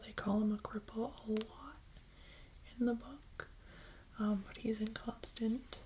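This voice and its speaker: A soft-spoken voice talks over noticeable background noise. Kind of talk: ASMR book review ramble to camera.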